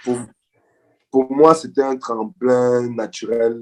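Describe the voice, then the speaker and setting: A man talking at a very slow pace. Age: 30s. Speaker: agricultural entrepreneur. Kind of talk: interview. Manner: hesitant, many repetitions.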